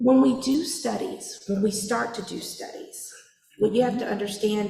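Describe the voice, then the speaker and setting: A woman speaks at a medium pitch with ordinary pitch variation, and audible room echo surrounds her voice. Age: 40s. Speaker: public health official. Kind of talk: public meeting Q&A answer. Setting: church meeting with audience.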